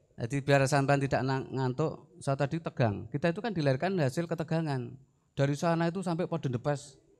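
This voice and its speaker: A man with a Javanese accent and fairly high pitch speaks at a fairly quick pace with ordinary pitch variation against a quiet background. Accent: Javanese-accented Indonesian. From Central Java, Semarang (Gunung Pati); Central Java, Indonesia. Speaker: army officer; guest. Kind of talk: lecture. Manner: animated. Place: hall. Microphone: handheld.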